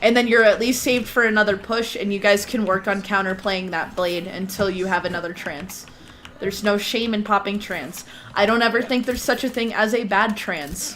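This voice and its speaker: Noticeable background noise runs under a woman's voice. She speaks at a fairly quick pace with ordinary pitch variation. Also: medium pitch for a woman. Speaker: gaming instructor. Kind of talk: online class.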